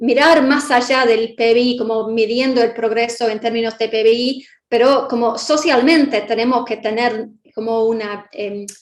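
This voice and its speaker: A woman's fairly high voice in a Buenos Aires accent, at a moderate pace with fairly even intonation. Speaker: guest lecturer. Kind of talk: Q&A answer in public class. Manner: halting, many fillers.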